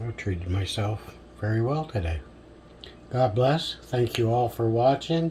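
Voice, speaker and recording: A somewhat breathy man with lively intonation at a fairly slow pace. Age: 60s. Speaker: home cooking video maker. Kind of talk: casual cooking vlog narration. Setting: outdoors on a balcony. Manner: relaxed.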